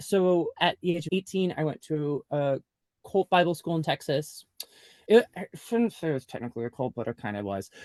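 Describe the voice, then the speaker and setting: A man with an ordinary speaking voice, fairly high in pitch, talks at a moderate pace with lively intonation, in a dry, close sound with no echo over a quiet background. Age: 30s. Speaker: memoir author, former youth pastor. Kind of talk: podcast interview. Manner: casual, filler-heavy (like, um).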